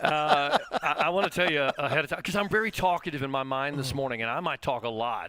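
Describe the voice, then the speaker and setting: Talking at a very fast pace with lively intonation, a man with a fairly high voice is heard over noticeable background noise. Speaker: podcast host. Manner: talkative.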